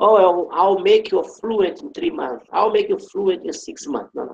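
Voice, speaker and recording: Speaking at a moderate pace, a man talks with a Brazilian Portuguese accent. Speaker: English teacher. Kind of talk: online class.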